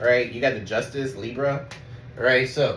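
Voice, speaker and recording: A man talks at a fairly quick pace in a medium pitch with monotone, flat intonation. The recording has noticeable background noise and audible room echo. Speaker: tarot reader. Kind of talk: tarot reading. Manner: fast; casual, swearing.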